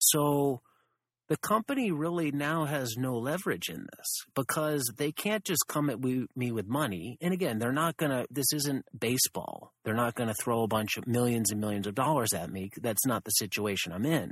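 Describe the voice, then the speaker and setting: In a very clean recording with a silent background and a dry, close sound with no echo, a man with an unremarkable speaking voice talks at a moderate pace and medium pitch, his intonation lively. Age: 30s. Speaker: podcast host and permaculture event organizer. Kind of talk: casual chat.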